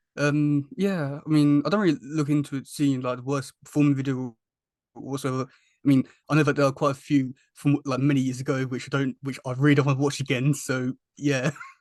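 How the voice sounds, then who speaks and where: Here a man with a strong British accent talks in a monotone, with flat intonation. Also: fairly quick pace. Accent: thick British. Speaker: YouTuber and podcast host. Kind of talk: casual interview chat. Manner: halting, many repetitions.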